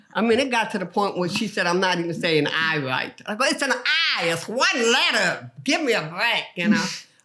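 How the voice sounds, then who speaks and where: Over noticeable background noise, a woman talks at a moderate pace with hardly any pauses, her medium-pitched voice making very wide pitch swings. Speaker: comedian. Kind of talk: podcast interview.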